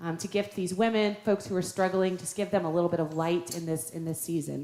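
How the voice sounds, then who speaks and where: A woman's fairly low voice with ordinary pitch variation over noticeable background noise. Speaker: pastor. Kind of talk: church announcements. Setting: church. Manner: fast.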